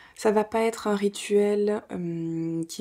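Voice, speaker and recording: Over a quiet background, a woman speaks at a very slow pace with a monotone, flat intonation. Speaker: home vlogger. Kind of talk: casual vlog chat. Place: home room.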